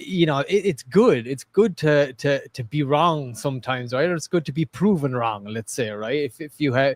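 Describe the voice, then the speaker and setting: A man with an unremarkable speaking voice talks at a moderate pace, his fairly high pitch rising and falling with lively intonation and hardly any pauses. The sound is dry and close, with no echo. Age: 40s. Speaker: crypto project host. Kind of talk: casual live stream chat.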